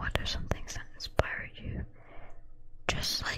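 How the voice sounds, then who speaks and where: Whispering against noticeable background noise. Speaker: ASMR creator. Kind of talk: ASMR Q&A talk to camera. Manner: whispered.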